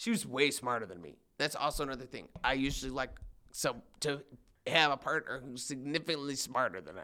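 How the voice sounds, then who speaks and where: Talking at a very fast pace, a man with a medium pitch and a bright, sharp tone shows ordinary pitch variation, big swings in loudness and some vocal fry. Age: 20s. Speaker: podcast guest. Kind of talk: casual chat.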